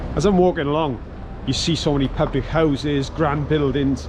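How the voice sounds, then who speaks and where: Here is a man with a Welsh accent, his pitch varying normally. There is noticeable noise behind him. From Wales. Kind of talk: walking tour narration to camera. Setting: outdoors. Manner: upbeat, enthusiastic.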